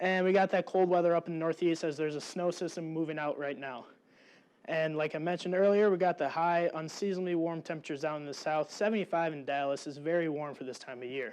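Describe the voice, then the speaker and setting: In a quiet setting, a man speaks very fast with fairly even intonation. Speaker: student weather presenter. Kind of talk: weather forecast. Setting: studio. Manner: halting.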